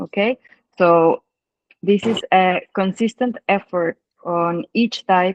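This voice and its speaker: Someone with a Spanish accent speaks very slowly, leaving long, frequent pauses. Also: woman, medium pitch for a woman, ordinary pitch variation, dry, close sound with no echo. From Mexico. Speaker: dive instructor and trip founder. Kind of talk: casual chat. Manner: halting.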